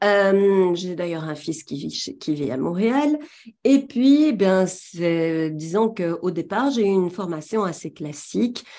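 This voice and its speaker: A woman with a Belgian accent, a dark, mellow tone at medium pitch, very wide pitch swings and a very slow pace. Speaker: trainer in tarot and runes. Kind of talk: webinar presentation. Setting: webinar, talking to a camera.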